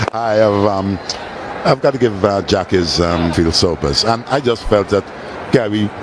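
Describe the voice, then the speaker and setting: Noticeable background noise sits under a voice that keeps very even loudness, a moderate pace and ordinary pitch variation. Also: man, fairly low pitch for a man. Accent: Caribbean. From Caribbean. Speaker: former cricketer, guest commentator. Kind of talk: live commentary with chat. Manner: halting, many fillers.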